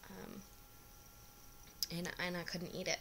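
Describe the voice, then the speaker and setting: There is noticeable background noise in this clip. A woman talks at a moderate pace. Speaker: fertility vlogger. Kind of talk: personal vlog. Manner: hesitant, many fillers.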